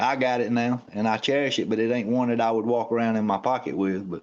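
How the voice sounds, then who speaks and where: Fairly even intonation and a medium pitch mark a man's speech in a quiet setting. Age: 60s. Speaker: knife collector guest. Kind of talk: casual chat.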